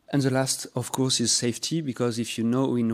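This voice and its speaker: Talking at a fairly quick pace with a French accent, a man keeps his medium-pitched voice at a fairly even intonation. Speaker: company representative. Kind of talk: sales pitch. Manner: halting.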